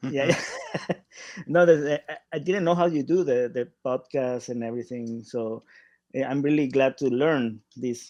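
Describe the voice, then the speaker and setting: Speaking at a fairly slow pace with a Spanish accent, a man has a fairly high pitch. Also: ordinary pitch variation. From Paraguay. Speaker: artist. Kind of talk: interview. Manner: halting.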